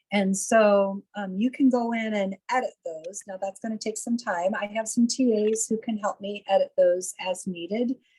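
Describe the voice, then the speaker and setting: A somewhat breathy woman's voice of fairly high pitch, dark and mellow in tone, with fairly even intonation, hardly any pauses, and a dry, close sound with no echo. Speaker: nursing professor. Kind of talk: webinar Q&A. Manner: slow and clear.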